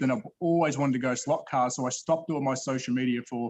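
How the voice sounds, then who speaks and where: A man with an Australian accent, fairly high in pitch and fairly even in intonation. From Australia, Melbourne. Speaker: slot car YouTuber and collector. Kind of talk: casual chat. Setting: video call. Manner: halting.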